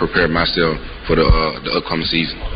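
A man talking at a fairly quick pace, with audible room echo and noticeable background noise. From Mississippi. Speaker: college football quarterback. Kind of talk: press conference.

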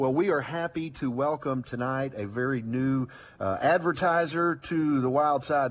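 A man talks in a Southern US accent. His pitch is medium and his pace is moderate. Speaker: outdoors radio host. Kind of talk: casual chat.

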